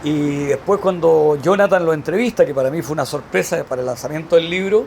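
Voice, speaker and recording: This man has a fairly high pitch and a Chilean accent. He talks at a fairly quick pace with ordinary pitch variation. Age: 60s. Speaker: veteran volunteer firefighter. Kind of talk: interview.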